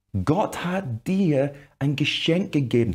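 Against a quiet background, a man with a fairly high pitch speaks in an animated tone with lively intonation. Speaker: preacher. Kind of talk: sermon. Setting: church video with online audience. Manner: animated, emphatic preaching, acting out dialogue. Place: studio. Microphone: lapel.

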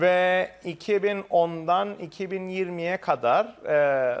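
A high-pitched man's voice with lively intonation against a quiet background. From Cyprus. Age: 30s. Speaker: lawyer; interviewee. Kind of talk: interview; interview answer. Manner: formal; hesitant with fillers. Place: office. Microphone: lapel.

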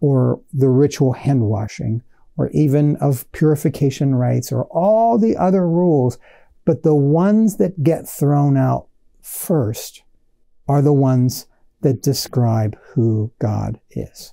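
The voice has a dark, mellow tone with vocal fry. It moves at a slow pace with ordinary pitch variation. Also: man, medium pitch for a man.

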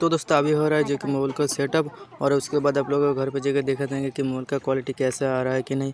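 Fast and monotone, a man speaks with flat intonation and a slightly mellow tone. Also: medium pitch for a man.

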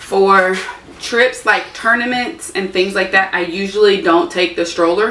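A woman speaks at a moderate pace with fairly even intonation. Light background noise and audible room echo are present. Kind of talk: casual vlog chat. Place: garage. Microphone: camera far.

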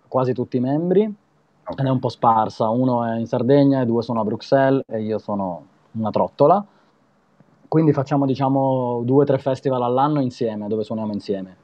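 This man talks at a medium pitch and a fairly quick pace, with ordinary pitch variation. The background is quiet and the sound is dry with no echo. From Italy. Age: 30s. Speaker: street performer and musician; guest. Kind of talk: casual interview. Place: home room. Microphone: video call.

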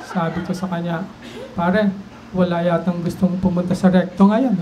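A man's moderately paced talking comes through noticeable background noise. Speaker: stand-up comedian, doctor. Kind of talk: stand-up comedy set. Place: bar. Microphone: handheld.

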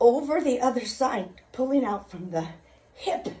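Her pace is fairly slow. This woman's intonation is lively. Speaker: fitness instructor. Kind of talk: workout instruction. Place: home room. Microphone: phone near.

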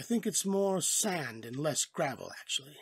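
The voice is a raspy, put-on character voice pitched in the middle range. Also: moderate pace. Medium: read story. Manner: casual, jovial.

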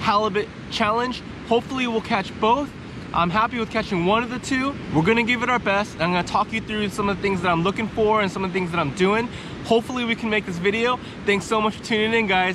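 A man talks at a very fast pace in a high pitch with ordinary pitch variation, the sound dry with no echo but with noticeable background noise. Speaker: fishing vlogger. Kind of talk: casual vlog chat. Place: beach. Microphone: phone near.

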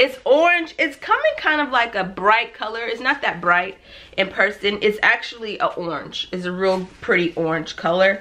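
An animated woman's voice, bright and sharp in tone, fairly high in pitch, with lively intonation at a moderate pace. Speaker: lifestyle vlogger. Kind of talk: shopping haul video. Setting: home video recording. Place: home room.

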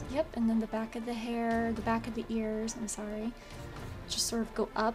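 Over music in the background, a woman mumbles at a fairly quick pace, her fairly high voice flat and monotone. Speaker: digital artist. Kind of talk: tutorial voiceover. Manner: mumbling a bit.

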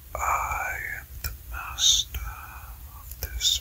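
Soft-spoken and whispering, the voice carries a menacing tone at a very slow pace. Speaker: character narrator. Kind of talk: sleep story narration in character. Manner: soft menacing whisper of lion villain.

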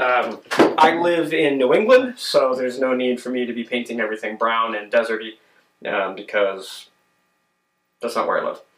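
In a room with audible echo and light background noise, a man speaks with long, frequent pauses. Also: moderate pace. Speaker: DIY video maker. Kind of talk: tutorial. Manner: hesitant with many fillers. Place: workshop. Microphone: camera far.

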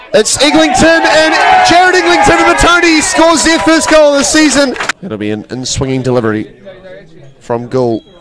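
An excited tone at a moderate pace over crowd noise in the background. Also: man. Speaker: football commentator. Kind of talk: live match commentary, play-by-play over highlights. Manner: excited, rising energy at goals.

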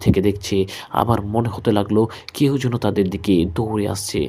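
Here is a man with an ordinary speaking voice. He has a fairly low pitch and fairly even intonation. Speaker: horror story narrator / radio-style host. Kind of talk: horror story narration read from an emailed account.

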